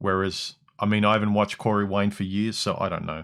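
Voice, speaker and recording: The recording is very clean, with a silent background. A man speaks at a fairly quick pace in a fairly low, monotone, flat voice. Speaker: livestream host. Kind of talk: livestream commentary.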